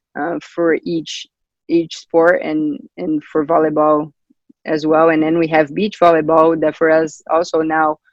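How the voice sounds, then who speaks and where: This man speaks in a Brazilian accent with a fairly high pitch. His intonation is monotone and flat. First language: Portuguese. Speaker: volleyball coach. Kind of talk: interview. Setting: video call. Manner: halting.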